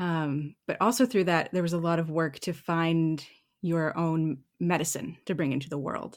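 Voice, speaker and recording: The recording is very clean and the background silent. An unremarkable speaking voice goes at a moderate speed, its pitch moving in an ordinary way. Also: woman, fairly low pitch for a woman. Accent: Canadian. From Canada. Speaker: writer and yoga teacher. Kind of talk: casual interview.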